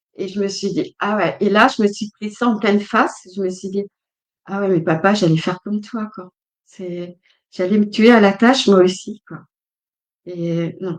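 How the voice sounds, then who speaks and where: In an ordinary speaking voice, a woman at medium pitch talks at a fairly slow pace with fairly even intonation and big swings in loudness. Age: 60s. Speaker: guest speaker on family healing. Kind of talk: casual interview chat. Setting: livestream.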